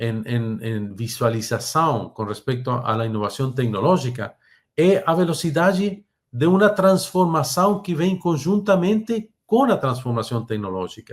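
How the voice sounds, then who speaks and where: With a Spanish accent, a man speaks in a fairly high, somewhat breathy voice at a fairly slow pace with very wide pitch swings. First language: Spanish (speaking Portuguese). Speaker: technology speaker. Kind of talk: webinar presentation. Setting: online webinar. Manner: halting.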